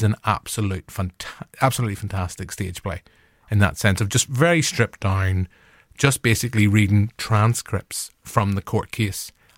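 Speaking fairly quickly with an ordinary amount of pitch variation, a man with a Northern Irish accent and a fairly low pitch comes through dry and close with no echo on a very clean recording with a silent background. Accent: Northern Irish (Belfast). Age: 40s. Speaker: podcast host. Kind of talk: casual chat.

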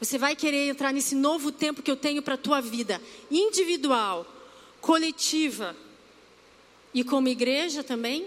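A woman speaks at a high pitch and moderate pace, with ordinary pitch variation. Her pauses are long and frequent. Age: 40s. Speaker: church preacher. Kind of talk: sermon.

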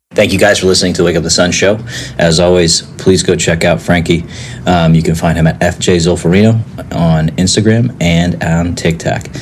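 A man's very deep, low pitch at very even loudness, over noticeable background noise. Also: moderate pace. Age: 40s. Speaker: podcast host. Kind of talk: casual chat. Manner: enthusiastic.

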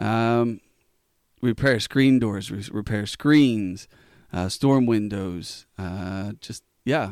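On a very clean recording with a silent background, a man with an American accent talks at medium pitch with ordinary pitch variation. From Pennsylvania, Elizabethtown area. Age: 30s. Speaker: business owner. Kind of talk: interview. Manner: halting.

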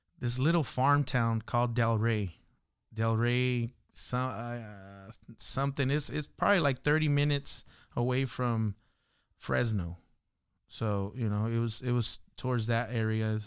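A man with an American accent speaks at a fairly slow pace in a plain, everyday voice, medium in pitch with ordinary pitch variation. His loudness stays very even in a very clean recording with a silent background. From Los Angeles, South Central (Watts). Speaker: hip hop artist and worship leader. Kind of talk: casual interview chat.

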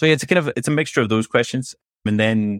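A medium-pitched man with a Scottish accent, at a fairly quick pace with ordinary pitch variation, in a dry, close sound with no echo. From Scotland; Glasgow. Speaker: MLOps head and author. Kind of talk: casual interview chat.

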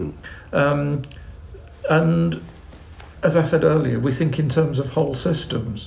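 A man with a British accent, a fairly high pitch, ordinary pitch variation and a moderate pace. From England. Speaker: Anglican canon and charity CEO. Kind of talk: casual interview chat. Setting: on location in Uganda.

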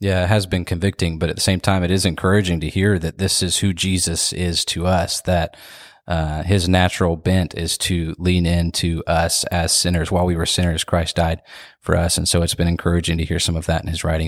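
On a very clean recording with a silent background, a man with a very deep, low pitch speaks at a fairly quick pace in a monotone, flat intonation. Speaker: church pastor. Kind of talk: casual chat. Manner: halting.

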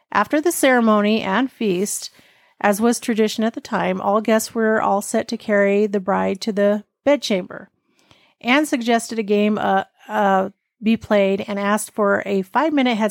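A woman with an unremarkable speaking voice talks at a medium pitch and a moderate pace. The recording is very clean, with a silent background and a dry, close sound with no echo. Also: ordinary pitch variation. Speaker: podcast host reading ghost stories. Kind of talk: ghost story telling, read aloud from a text.

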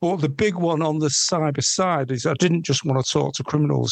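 A man with a Mancunian accent talks with ordinary pitch variation. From northern England, Manchester. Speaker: fraud investigator. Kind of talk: interview. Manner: halting, many ums.

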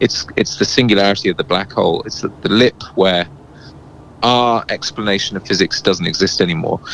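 Over noticeable background noise, a man with a fairly low pitch and ordinary pitch variation talks at a fairly quick pace. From England and South Wales. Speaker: singer-songwriter and producer. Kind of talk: interview.

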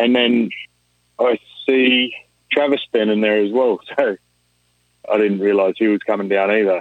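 A man with an Australian accent speaks at a fairly low pitch. His intonation is fairly even, broken by long, frequent pauses. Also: moderate pace, very even loudness. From New South Wales, Australia. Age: 20s. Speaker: rig welder. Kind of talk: casual chat.

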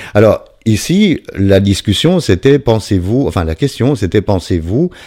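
A man's voice has a dark, mellow tone. He speaks at a fairly slow pace. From Belgium. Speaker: podcast host, recovering addict. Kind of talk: monologue reading listener testimonies. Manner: hesitant, many fillers.

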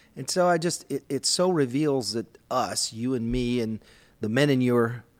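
In a very clean recording with a silent background, a man uses a normal speaking voice at medium pitch, talking fairly slowly with ordinary pitch variation. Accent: American. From US Midwest, Minnesota. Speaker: men's group leader and podcast host. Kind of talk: casual discussion on faith.

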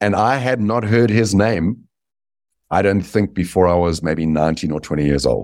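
This man speaks with a South African accent at a moderate pace, his fairly low pitch showing ordinary pitch variation. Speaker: business author. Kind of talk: interview.

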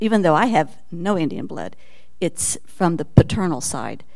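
Noticeable background noise behind a woman's fairly low-pitched voice at a moderate pace. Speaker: congregation member. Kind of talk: audience comment.

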